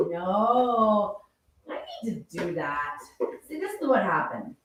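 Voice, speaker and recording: Audible room echo is present in the recording. The voice belongs to a woman. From southern England. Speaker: cooking show host. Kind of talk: live cooking stream chat.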